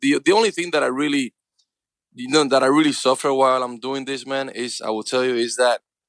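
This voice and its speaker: The sound is dry and close, with no echo. A man talks at a fairly quick pace with a medium pitch and ordinary pitch variation. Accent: Cuban. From Cuba. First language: Spanish. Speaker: actor. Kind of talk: interview answer.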